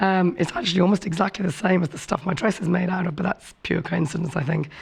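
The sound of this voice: A woman speaks fast with a husky, fairly low-pitched voice and vocal fry. Her intonation stays fairly even.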